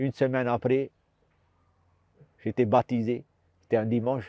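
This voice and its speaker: A man's dark, mellow voice, monotone and flat, at a fairly slow pace, with a dry, close sound and no echo. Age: 60s. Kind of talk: testimony. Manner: halting, repetitive.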